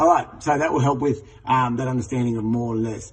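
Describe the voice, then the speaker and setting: Here a man talks at a fairly quick pace. His voice is somewhat breathy and medium in pitch. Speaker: teacher trainer. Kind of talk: tutorial. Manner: fast.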